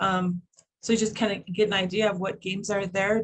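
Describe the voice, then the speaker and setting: A woman speaks at a fairly quick pace with a medium pitch. Her voice is somewhat breathy, and her intonation is fairly even. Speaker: educator presenting a curriculum project. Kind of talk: online presentation. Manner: hesitant, many fillers; fast.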